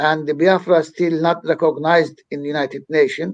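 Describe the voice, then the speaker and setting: A fairly high male voice with a Turkish accent. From Turkey. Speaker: activist. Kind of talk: interview.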